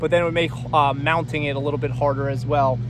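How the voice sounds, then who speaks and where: Fairly quick speech from a man, noticeable background noise behind it. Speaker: farmer. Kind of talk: tutorial. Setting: outdoors. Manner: loud.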